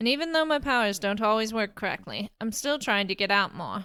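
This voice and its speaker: A woman puts on a nasal character voice, pitched fairly high and spoken at a fairly quick pace. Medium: read story. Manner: timid, hesitant.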